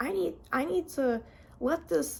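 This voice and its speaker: A high-pitched woman's voice. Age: 20s. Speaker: vlogger sharing recovery journey. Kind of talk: personal testimony vlog. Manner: stuttering, repetitive; casual, filler-heavy.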